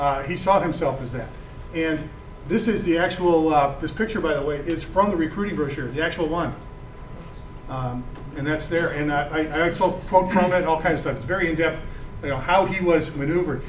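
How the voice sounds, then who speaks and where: With an American accent, a man speaks fairly quickly in a fairly high pitch with ordinary variation. Noticeable background noise and audible room echo fill the recording. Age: 60s. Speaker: author and veteran. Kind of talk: lecture Q&A. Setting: talk to a book club audience. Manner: halting, many fillers and repetitions; passionate, indignant.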